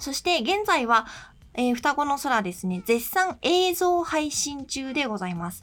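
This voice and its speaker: A woman with a high pitch and a relaxed tone talks at a fairly slow pace, her pitch swinging very widely. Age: 20s. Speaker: stage actress and podcast host. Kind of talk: casual solo radio talk.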